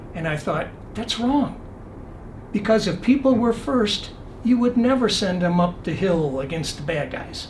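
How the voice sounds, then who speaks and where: Amid noticeable background noise and audible room echo, a man with a high pitch speaks with lively intonation. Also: fairly slow pace. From Michigan. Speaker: retired air force general and military lawyer. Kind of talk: interview conversation. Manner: calm.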